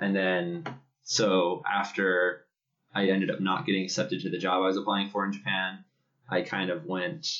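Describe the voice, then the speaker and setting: With a plain, everyday voice, a man speaks at a moderate pace and a fairly low pitch. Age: 30s. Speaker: podcast co-host. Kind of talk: casual chat. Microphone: laptop built-in mic.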